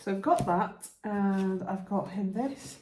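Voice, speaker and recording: Fairly slow speech with audible room echo. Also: woman. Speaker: lifestyle vlogger. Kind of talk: casual vlog chat. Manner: soft-spoken.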